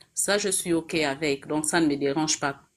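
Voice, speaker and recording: This woman talks at a fairly slow pace in a fairly low pitch, keeping her intonation fairly even. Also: very clean recording, silent background. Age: 40s. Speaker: caller, executive secretary. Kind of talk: personal testimony. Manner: hesitant, many fillers.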